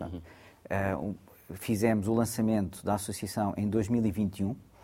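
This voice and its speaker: A man talks at a very slow pace with a fairly low pitch. His tone is dark and mellow, his intonation fairly even. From Mozambique. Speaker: university lecturer and researcher. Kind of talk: interview discussion.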